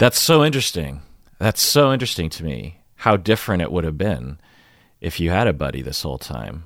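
Fairly quick speech from a man with a very deep, low pitch, vocal fry and very wide pitch swings on a very clean recording with a silent background. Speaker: podcast host and psychologist. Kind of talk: casual interview.

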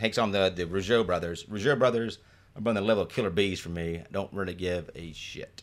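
A man in a normal speaking voice with an American accent, fairly low in pitch with ordinary variation, at a fairly quick pace with big swings in loudness, on a very clean recording with a silent background. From Detroit, Michigan. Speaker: podcast host, improviser. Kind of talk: casual chat.

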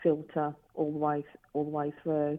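Someone speaks at a fairly slow pace with a British accent. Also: woman. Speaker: business owner, forensic technology company. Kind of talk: casual interview.

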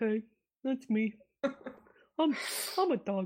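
This female-sounding voice is a put-on character voice pitched fairly high. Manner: comical.

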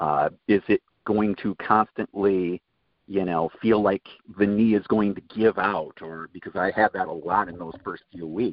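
A man's plain, everyday voice, fairly low-pitched, with fairly even intonation and big swings in loudness. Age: 50s. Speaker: knee replacement patient. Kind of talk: interview testimony.

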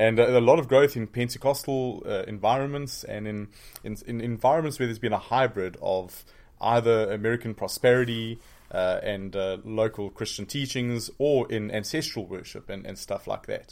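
A man speaks with a South African accent at a moderate pace, his pitch medium with ordinary variation. His loudness swings widely, and the recording is very clean over a silent background. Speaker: pastor and seminary professor. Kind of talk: interview. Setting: studio.

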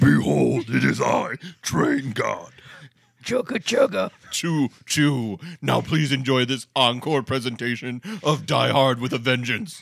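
A put-on character voice from a man, raspy, at medium pitch and a fairly slow pace. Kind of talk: comic overacting. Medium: game stream. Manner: grandiose, comic overacting.

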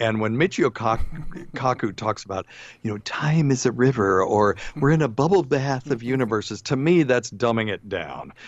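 The delivery is an unremarkable speaking voice at a moderate pace. Its intonation is lively. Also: man, medium pitch for a man. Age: 60s. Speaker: physician and radio host. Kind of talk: casual chat. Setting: video call.

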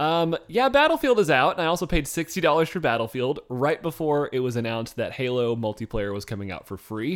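A man with a normal speaking voice talks at a fairly high pitch and a fairly quick pace, with lively intonation and hardly any pauses, on a very clean recording with a silent background. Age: 20s. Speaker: podcast co-host. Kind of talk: casual chat.

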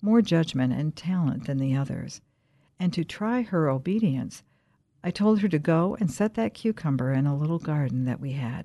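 Against a quiet background, a woman with a very deep, low pitch and a dark, mellow tone talks at a moderate pace, her pitch swinging very widely. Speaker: audiobook narrator. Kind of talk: audiobook reading of a 16th-century religious text. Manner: calm, measured, reverent.

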